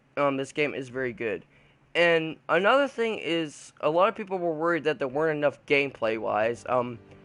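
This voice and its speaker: Music plays in the background as a man speaks at a moderate pace in a fairly high pitch with lively intonation. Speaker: video game reviewer. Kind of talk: game review commentary. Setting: talking over gameplay footage. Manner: halting, many fillers and restarts.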